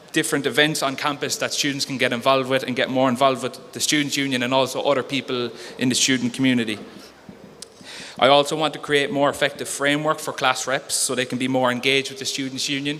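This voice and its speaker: Someone with a Cork accent talks very fast in a monotone, flat delivery over noticeable background noise. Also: man, medium pitch for a man. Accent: Cork Irish. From Ireland, Cork City (north side). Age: 20s. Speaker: student union candidate. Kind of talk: election hustings speech. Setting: campus hall, live stream. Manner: hesitant, many fillers.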